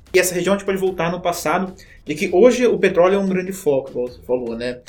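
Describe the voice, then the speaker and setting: This man talks at a fairly quick pace. His voice sits high in pitch. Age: 20s. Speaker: teacher. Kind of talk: educational podcast chat.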